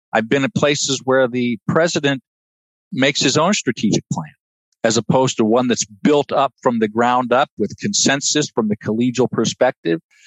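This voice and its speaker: A man with a normal speaking voice and an American accent talks at a moderate pace and medium pitch, his intonation lively and his loudness very even. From Ohio. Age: 60s. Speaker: finance administrator at a university.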